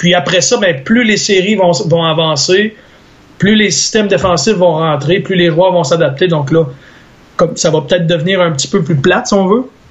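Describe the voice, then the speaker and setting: The man's voice sits at a high pitch with ordinary variation. He keeps a moderate pace. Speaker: sports commentator. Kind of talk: casual chat.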